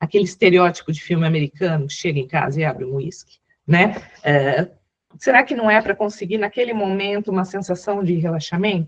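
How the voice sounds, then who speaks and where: This is an unremarkable speaking voice. It moves at a fairly quick pace with lively intonation. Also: woman, medium pitch for a woman. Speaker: psychologist, webinar speaker. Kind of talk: webinar talk. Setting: online webinar.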